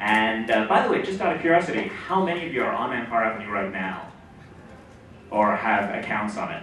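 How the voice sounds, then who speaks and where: A man at a fairly quick pace with very wide pitch swings, noticeable background noise and audible room echo. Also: medium pitch for a man. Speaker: startup CEO speaking at a conference. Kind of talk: conference talk. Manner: fast.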